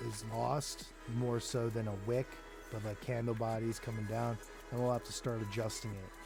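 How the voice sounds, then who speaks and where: A man's medium-pitched voice in a monotone, flat intonation at a moderate pace, with music in the background. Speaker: crypto market analyst. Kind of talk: casual chart analysis talk to camera.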